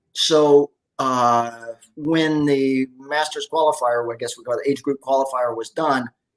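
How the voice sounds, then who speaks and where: With an ordinary speaking voice, a man talks at a fairly high pitch in fairly even intonation. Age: 60s. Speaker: masters fitness athlete and coach. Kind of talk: podcast interview.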